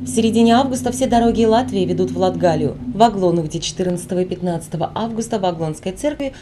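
Over noticeable background noise, a woman talks at a moderate pace with lively intonation. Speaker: TV news reporter. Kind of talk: scripted narration.

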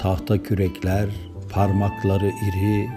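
Music plays in the background. A man speaks very slowly at a fairly low pitch. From Denizli, Turkey. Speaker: poet. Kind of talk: poetry reading.

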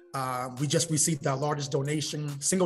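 Faint music plays in the background as a man speaks with monotone, flat intonation. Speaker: podcast guest. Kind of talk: interview answer. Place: hall. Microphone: video call.

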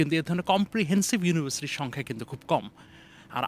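A man speaks with a fairly high pitch and lively intonation. The sound is dry, with no echo. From Bangladesh, Dhaka; Bangladesh. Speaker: university professor. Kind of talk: interview. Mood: friendly, smiling. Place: open country. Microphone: handheld.

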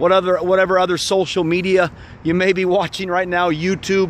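Light background noise sits behind a man with a high-pitched voice, and the sound is dry with no echo. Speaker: preacher. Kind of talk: prayer and exhortation to viewers. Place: open country. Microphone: phone near.

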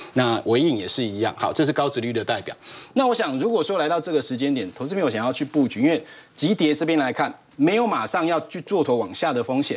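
A man's fairly high voice at a very fast pace, full of very wide pitch swings. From Taiwan. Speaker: stock market analyst. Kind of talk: TV finance panel discussion. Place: studio. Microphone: lapel.

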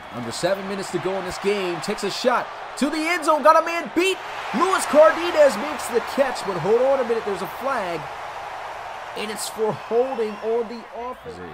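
A man talks at an extremely high pitch, his pitch swinging very widely and his loudness swinging a lot. His tone is animated, and background noise is noticeable. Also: fairly quick pace. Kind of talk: sports commentary. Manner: animated, breaking into laughter at big plays.

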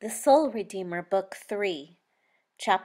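A natural read-aloud voice over a quiet background

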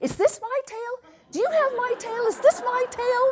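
This is a put-on character voice pitched extremely high. It goes at a moderate pace. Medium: read story. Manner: anxious, questioning, comic.

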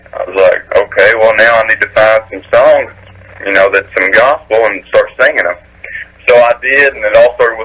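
A man speaks at a moderate pace in a fairly bright tone. His pitch varies in an ordinary way.

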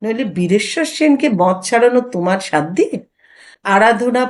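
The background stays quiet. A natural reading voice carries the passage.

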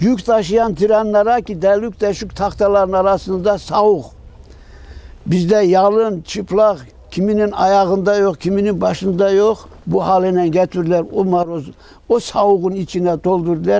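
With an Ahiska accent, a man speaks at a fairly slow pace in a high pitch with fairly even intonation, the sound dry with no echo. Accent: Ahiska Turkish dialect. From Ahiska (Meskhetian Turk). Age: old. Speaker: deportation survivor. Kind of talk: interview answer, personal testimony. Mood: sorrowful, grateful remembrance. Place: open country.

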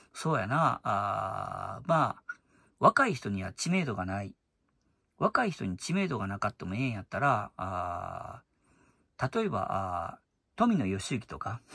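In a Kansai accent, a man with a bright, sharp tone and very wide pitch swings speaks at a fairly slow pace with long, frequent pauses, in a dry, close sound with no echo on a very clean recording with a silent background. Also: medium pitch for a man. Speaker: YouTuber commentator. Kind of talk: casual monologue.

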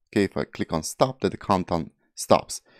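The background is quiet and the sound is dry with no echo. A man talks at a moderate pace. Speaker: web developer instructor. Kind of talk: tutorial. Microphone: studio mic.

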